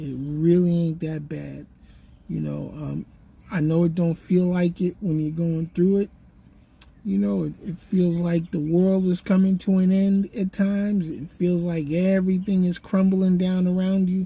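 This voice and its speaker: Speaking at a fairly slow pace, a woman has a fairly low pitch, a dark, mellow tone, a somewhat breathy quality and monotone, flat intonation. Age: 60s. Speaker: YouTuber and podcaster. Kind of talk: casual vlog monologue. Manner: halting, many fillers.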